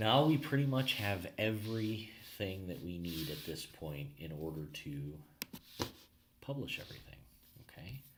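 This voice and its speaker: With audible room echo, the speaker moves at a moderate pace, pitch swinging very widely between long, frequent pauses. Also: man, fairly low pitch for a man. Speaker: marketing consultant. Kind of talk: tutorial. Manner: casual, filler-heavy.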